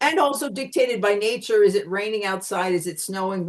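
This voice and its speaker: A woman speaks at a medium pitch in a Pennsylvania accent. Her intonation is lively. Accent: American (Pennsylvania). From Pennsylvania, US. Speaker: communication consultant. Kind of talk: interview.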